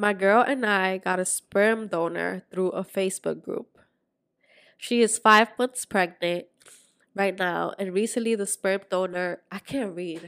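With a slight Spanish accent, a woman speaks at a fairly slow pace and medium pitch, her intonation fairly even and the sound dry and close without echo. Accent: light Spanish-accented English. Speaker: podcast co-host. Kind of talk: casual chat.

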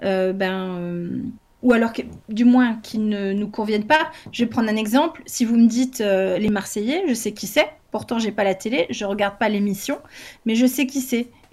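This woman has a fairly high, somewhat breathy voice. She talks at a moderate pace with ordinary pitch variation. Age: 40s. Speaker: homeschooling parent and educational content creator. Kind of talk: casual chat.

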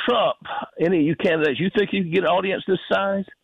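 A man talks in a Southern US accent. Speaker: caller. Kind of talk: casual chat. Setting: phone call.

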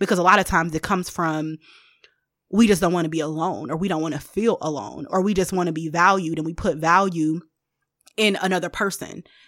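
In a very clean recording with a silent background, a woman speaks at a fairly quick pace in a fairly low pitch with fairly even intonation. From Detroit, US Midwest. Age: 30s. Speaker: higher education administrator and seminary student. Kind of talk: casual chat.

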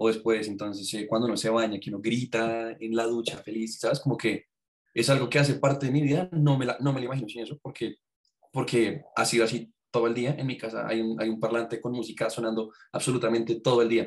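An ordinary speaking voice from a man, medium in pitch, with fairly even intonation at a fairly quick pace. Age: 20s. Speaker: music student and musician. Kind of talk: casual chat.

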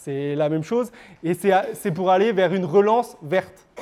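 The man speaks in a high pitch at a fairly slow pace. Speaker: lecturer and author. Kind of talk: lecture. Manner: hesitant, many filler words.

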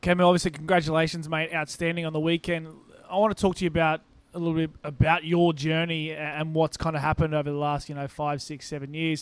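A man's very fast, fairly high-pitched voice with an Australian accent and monotone, flat intonation, on a very clean recording with a silent background. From Brisbane, Australia. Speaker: rugby podcast co-host. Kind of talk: casual chat.

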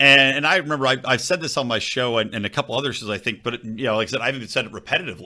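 With an American accent, a man races along at a very fast pace with hardly any pauses, his bright, sharp voice at a medium pitch with ordinary pitch variation, on a very clean recording with a silent background. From Philadelphia area, Pennsylvania. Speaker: libertarian podcaster. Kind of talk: casual political chat.

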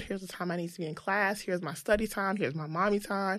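Speaking at a fairly quick pace with an American accent, a woman has a plain, everyday voice and ordinary pitch variation on a very clean recording with a silent background. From US South, Greensboro, North Carolina. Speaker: marketing and digital transformation executive. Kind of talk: casual interview.

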